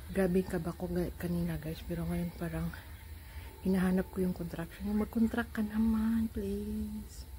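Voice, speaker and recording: A quiet woman speaks at a moderate pace. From Philippines. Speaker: vlogger. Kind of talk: vlog update. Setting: hospital. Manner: quiet, low volume.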